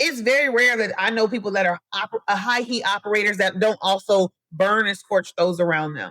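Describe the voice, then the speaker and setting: A woman with a medium pitch talks at a fairly quick pace in an animated tone, with ordinary pitch variation, hardly any pauses, and a dry, close sound with no echo. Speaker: podcast host. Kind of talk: solo podcast monologue. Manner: animated, addresses listeners as y'all; fast.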